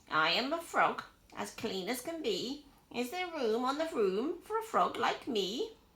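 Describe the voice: A croaky, high-pitched put-on character voice from a woman. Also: moderate pace.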